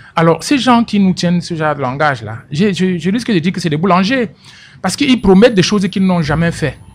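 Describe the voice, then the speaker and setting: An animated tone at a fairly quick pace. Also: man, high pitch for a man, lively intonation. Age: 60s. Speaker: political commentator. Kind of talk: radio interview. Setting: radio studio. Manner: repeats words when speaking.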